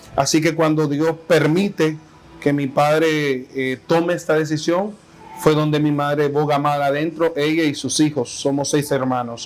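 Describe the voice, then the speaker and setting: Over noticeable background noise, a man talks at a fairly slow pace in a fairly high pitch with monotone, flat intonation. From Honduras, Tegucigalpa. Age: 30s. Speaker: pastor. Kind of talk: interview testimony. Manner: hesitant, with fillers and repetitions.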